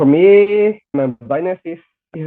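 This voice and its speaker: Lively intonation from a man with a Spanish accent. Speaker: blind student with hearing loss. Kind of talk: podcast interview. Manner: halting.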